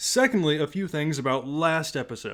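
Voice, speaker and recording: A man's voice, with ordinary pitch variation, sits in a very clean recording against a silent background. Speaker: history podcast host. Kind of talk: podcast monologue. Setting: home recording in a closet. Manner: quiet.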